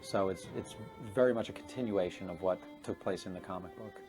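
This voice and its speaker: A man talking at a fairly quick pace over music in the background. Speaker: creator of the comic and animated series, director. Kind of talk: interview answer.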